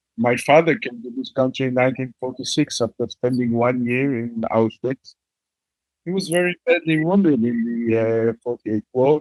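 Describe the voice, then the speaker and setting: With an Israeli accent, a man talks at a moderate pace at a medium pitch with ordinary pitch variation, in a dry, close sound with no echo. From Israel, Jerusalem. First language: Hebrew. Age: 70s. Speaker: bereaved father, peace activist. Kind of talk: testimony. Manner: halting.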